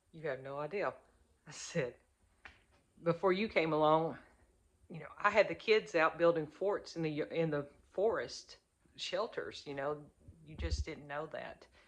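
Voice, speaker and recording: With an Arkansas accent, a woman talks at a fairly slow pace in a fairly low pitch, using ordinary pitch variation, big swings in loudness and long, frequent pauses. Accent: Southern US (Arkansas). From US South, Arkansas. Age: 50s. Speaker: prepper vlogger. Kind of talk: casual talk to camera.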